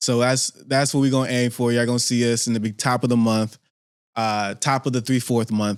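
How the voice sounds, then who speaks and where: On a very clean recording with a silent background, a man speaks at medium pitch in a monotone, flat intonation. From Pittsburgh, California (SF Bay Area). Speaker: podcast host. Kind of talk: casual podcast monologue. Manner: slow, deliberate.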